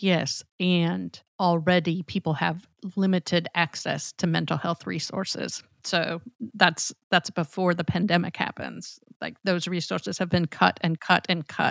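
A woman with vocal fry speaks at a fairly slow pace and a fairly low pitch, in a monotone, flat intonation. The recording is very clean, with a silent background and a dry, close sound with no echo. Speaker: podcast co-host.

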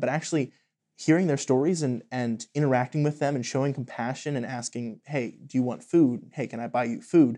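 Against a quiet background, a man with an American accent speaks fairly quickly in a dark, mellow tone, at a medium pitch with ordinary pitch variation. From Pennsylvania. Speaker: student. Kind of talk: casual chat.

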